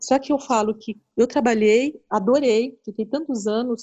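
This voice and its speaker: The woman moves at a moderate pace. She uses ordinary pitch variation. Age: 40s. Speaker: financial educator. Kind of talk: casual interview. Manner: hesitant, with many fillers.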